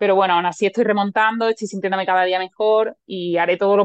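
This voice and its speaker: A woman speaks at a very fast pace with medium pitch and fairly even intonation. The sound is dry and close, with no echo. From Lepe, Huelva, Andalusia, Spain. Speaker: Olympic race walker. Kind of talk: interview. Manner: halting.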